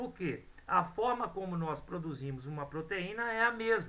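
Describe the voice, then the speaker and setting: With a Brazilian accent, the words come at a moderate pace. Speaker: biology teacher. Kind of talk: lecture.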